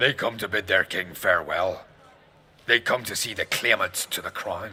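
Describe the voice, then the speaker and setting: A man speaks in a put-on character voice, raspy at a medium pitch. His pace is moderate. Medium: video game. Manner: formal, polite.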